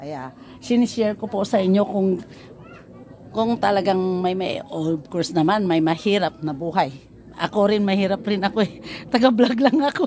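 Speaking with an unremarkable speaking voice, a woman uses lively intonation at medium pitch and a moderate pace. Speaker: vlogger. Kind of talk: casual vlog narration.

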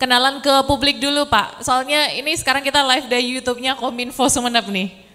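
Projecting a raised voice, a woman talks very fast at a high pitch with a bright, sharp tone, fairly even intonation and hardly any pauses. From Indonesia. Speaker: event moderator. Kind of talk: event moderating. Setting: hall with audience, streamed live. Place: hall. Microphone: handheld.

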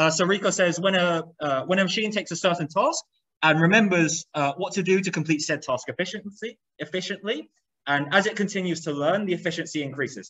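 With a quiet background, a man talks at a fairly quick pace in a high voice with ordinary pitch variation. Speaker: lecturer. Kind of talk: lecture. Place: classroom.

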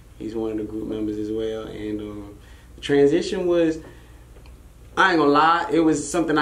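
Audible room echo surrounds a man's voice. He speaks at a fairly quick pace with ordinary pitch variation. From Arlington, Texas (born in Brooklyn); Texas. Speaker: rapper; interview guest. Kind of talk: casual interview. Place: studio.

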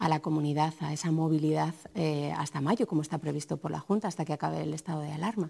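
A normal speaking voice from a woman, fairly low in pitch. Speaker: TV journalist. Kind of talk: TV panel discussion. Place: studio. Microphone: lapel.

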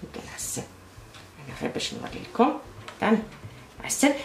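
A woman with an Algerian accent speaks at a moderate pace with lively intonation, amid light background noise and audible room echo. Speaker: cooking channel host. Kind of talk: cooking tutorial. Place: kitchen. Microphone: camera far.

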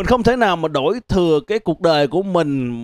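With lively intonation, a man talks at a moderate pace. The background is quiet and the sound is dry with no echo. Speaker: stand-up comedian. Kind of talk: stand-up comedy monologue. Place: stage. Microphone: handheld.

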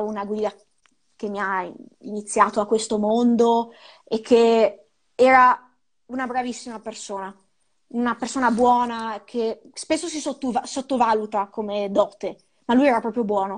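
A woman's fairly high voice at a fairly slow pace, fairly even in intonation, with long, frequent pauses against a quiet background. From Ravenna, Emilia-Romagna, Italy; Emilia-Romagna, Italy. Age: 20s. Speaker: snowboard instructor and mountain guide; snowboard instructor, mountain guide. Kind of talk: interview. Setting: live video call. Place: home room. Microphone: earbuds.

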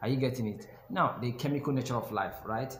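Over light background noise and audible room echo, a man at a medium pitch talks at a fairly quick pace. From Nigeria. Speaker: YouTube educator, biochemistry graduate. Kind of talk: tutorial. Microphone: phone near.

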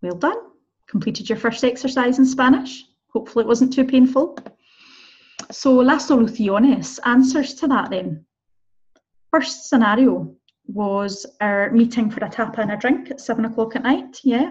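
Against a quiet background, a woman in a Scottish accent speaks at a moderate pace in a high pitch with ordinary pitch variation and long, frequent pauses. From Scotland. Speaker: Spanish teacher. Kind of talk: tutorial. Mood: friendly, encouraging. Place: car. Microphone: webcam.

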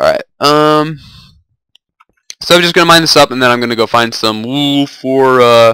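A man's bright, sharp voice at a fairly high pitch, moderate in pace with long, frequent pauses and ordinary pitch variation, dry with no echo against a quiet background. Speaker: gaming video creator. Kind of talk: let's play commentary. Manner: casual, chatty. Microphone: cheap low-quality mic.

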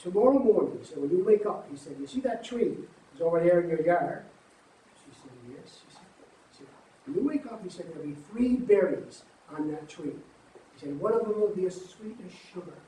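A man speaks with big swings in loudness over light background noise and audible room echo. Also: fairly quick pace. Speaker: storyteller. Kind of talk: oral storytelling. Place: garden.

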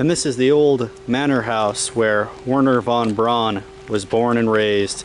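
A man at a fairly slow pace, in a dry sound with no echo and light background noise. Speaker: travel vlogger. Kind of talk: casual travel vlog commentary. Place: street. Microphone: phone near.

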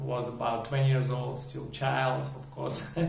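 A man's medium-pitched voice in a Russian accent, with audible room echo. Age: 40s. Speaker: video blogger. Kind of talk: personal storytelling monologue. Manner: halting. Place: home room.

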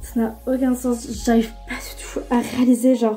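Faint music sits in the background. Over it, a woman speaks fairly slowly. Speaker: vlogger. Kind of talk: casual vlog chat. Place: home room. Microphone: phone near.

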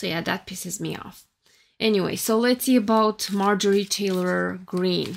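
A woman with a Romanian accent talks at a moderate pace with fairly even intonation and big swings in loudness. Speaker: tarot reader and YouTuber; tarot reader, YouTuber. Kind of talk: tarot reading monologue. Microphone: phone near.

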